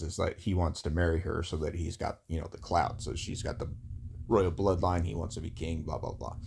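A man's very deep, low voice sounds dark, mellow and somewhat breathy in a very clean recording with a silent background. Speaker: podcast co-host.

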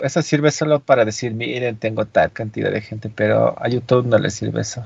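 A somewhat breathy male voice of medium pitch with lively intonation. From Andean highlands. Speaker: podcast co-host and streamer. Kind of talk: casual chat.

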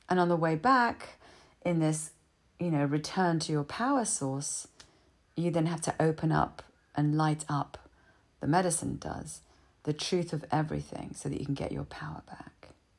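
Speaking at a moderate pace with long, frequent pauses, a woman with a very deep, low pitch shows ordinary pitch variation. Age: 60s. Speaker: trauma healing speaker. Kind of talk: monologue. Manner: animated.

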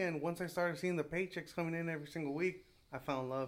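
A man with an American accent in a plain, everyday voice, with ordinary pitch variation and a fairly quick pace. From California, Salinas. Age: 20s. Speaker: small business owner. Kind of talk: casual chat.

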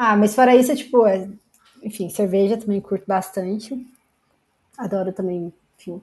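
A woman speaks at a moderate pace and medium pitch with a dark, mellow tone and ordinary pitch variation. Her loudness swings widely, and she takes long, frequent pauses. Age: 20s. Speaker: software engineer. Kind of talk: casual chat.

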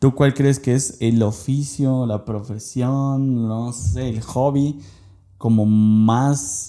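A man's dark, mellow voice at a very slow pace with fairly even intonation. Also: medium pitch for a man. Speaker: podcast co-host. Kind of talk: casual chat.

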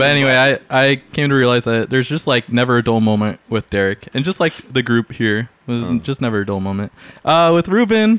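In an unremarkable speaking voice, a man talks fairly quickly at medium pitch with lively intonation, the sound dry and close with no echo. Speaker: podcast co-host. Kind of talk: casual banter.

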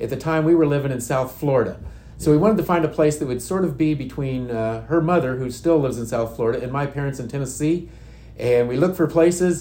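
With an American accent, a man talks at a fairly quick pace in a fairly high pitch, his dark, mellow tone somewhat breathy and his pitch variation ordinary. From Indiana. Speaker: youth and outreach minister. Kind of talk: testimony.

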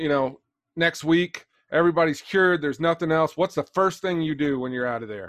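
Speaking at a fairly quick pace, a man uses an ordinary speaking voice with fairly high pitch and ordinary pitch variation. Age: 40s. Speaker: podcast host. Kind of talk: interview.

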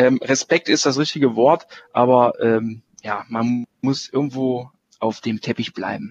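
A man speaks in a normal speaking voice at a medium pitch and a fairly slow pace, with ordinary pitch variation and a dry, close sound with no echo. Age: 30s. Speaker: hospital physician. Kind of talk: interview. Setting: remote call.

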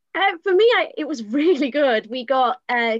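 A woman speaks with a Yorkshire accent in a dry, close recording with no echo. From Leeds, West Yorkshire. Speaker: drama student. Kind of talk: online panel discussion.

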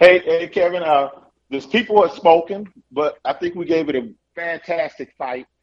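A man's high-pitched voice with ordinary pitch variation, at a moderate pace. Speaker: caller, election candidate. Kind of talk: phone call, casual talk. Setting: phone call.

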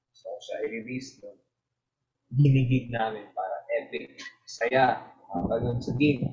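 A man with a Filipino accent talks with big swings in loudness and long, frequent pauses. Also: moderate pace. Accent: Filipino English, Taglish. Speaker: indie musician and piano teacher. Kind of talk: casual interview, Taglish. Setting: podcast interview.

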